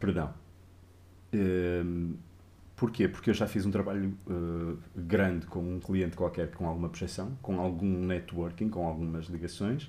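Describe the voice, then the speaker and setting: Pausing long and often, a man speaks fairly slowly in a very deep, low voice with a dark, mellow tone and fairly even intonation. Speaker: game artist. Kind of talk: interview on a live stream.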